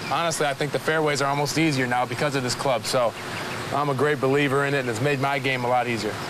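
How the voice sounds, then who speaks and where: A man's medium-pitched voice at a very fast pace, monotone and flat, with very even loudness over noticeable background noise. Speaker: pro basketball player. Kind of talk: casual interview talk.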